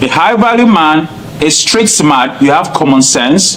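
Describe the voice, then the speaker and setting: A man talks with a Cameroonian accent and very wide pitch swings. Noticeable background noise sits behind him. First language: not English. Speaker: nurse practitioner. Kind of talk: interview. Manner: loud.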